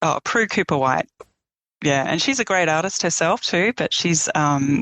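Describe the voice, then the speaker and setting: A woman with an Australian accent speaks at a moderate pace in a fairly low voice. Her intonation is lively and her loudness very even. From eastern Australia. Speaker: painter. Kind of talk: interview conversation. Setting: podcast interview.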